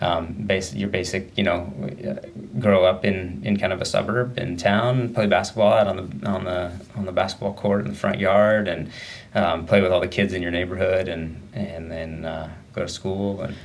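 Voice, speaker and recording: A man with a very deep, low pitch talks at a moderate pace, with noticeable background noise and audible room echo. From Southern Oregon, US. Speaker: elite runner. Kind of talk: interview.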